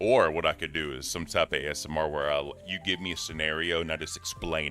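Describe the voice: With music in the background, a man with a very deep, low pitch talks very fast with fairly even intonation.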